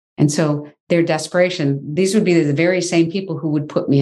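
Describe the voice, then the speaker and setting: Speaking with an American accent, a woman has a dark, mellow tone and ordinary pitch variation. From US Midwest, Michigan. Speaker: filmmaker and human rights activist. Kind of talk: interview conversation.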